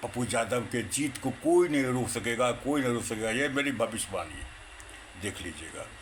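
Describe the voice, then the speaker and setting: A man's medium-pitched voice varies in pitch in an ordinary way against noticeable background noise. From India, Bihar, Purnia. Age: 60s. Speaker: retired Congress supporter. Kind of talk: political monologue. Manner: animated, repetitive.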